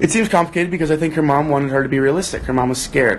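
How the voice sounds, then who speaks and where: Very fast speech from a man, fairly high in pitch with ordinary pitch variation, amid noticeable background noise. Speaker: actor hosting a book club livestream. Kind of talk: livestream chat, reading viewer comments aloud. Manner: casual, conversational.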